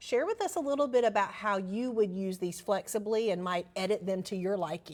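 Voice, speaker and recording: At a fairly quick pace, a woman with a Southern US accent speaks at medium pitch with ordinary pitch variation. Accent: Southern American. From US South, Alabama. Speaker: managing editor, presenter. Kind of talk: educational webinar discussion.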